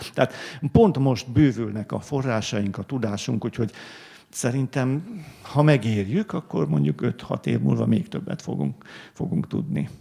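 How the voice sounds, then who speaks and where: The speaker talks at a fairly slow pace, with very wide pitch swings. Noticeable background noise runs underneath. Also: man, medium pitch for a man. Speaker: art historian, book author. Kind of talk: panel discussion. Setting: library event with audience. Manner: halting, many fillers.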